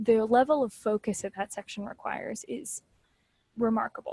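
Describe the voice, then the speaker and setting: A woman's fairly high-pitched, somewhat breathy voice with a dark, mellow tone, fairly even intonation and a moderate pace, in a dry, close sound with no echo. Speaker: test prep tutor. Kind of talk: training session for tutors.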